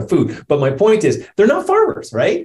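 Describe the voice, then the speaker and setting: A man speaks with a dark, mellow tone. His voice is somewhat breathy, at a moderate pace. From Canada. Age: 60s. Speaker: company CEO, founder. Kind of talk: interview.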